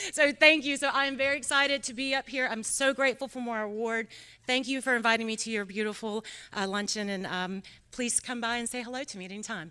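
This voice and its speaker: A woman with a North Carolina accent speaks at a very fast pace and a fairly high pitch, her bright, sharp tone showing ordinary pitch variation. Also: big swings in loudness. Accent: North Carolina Southern. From North Carolina, Iredell County. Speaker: state senator. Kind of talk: award acceptance speech. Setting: luncheon event with audience.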